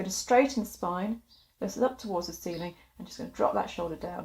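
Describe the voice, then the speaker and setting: Somewhat breathy, this voice rushes along at a very fast pace with ordinary pitch variation. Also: woman. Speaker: wellness instructor. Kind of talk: guided exercise tutorial.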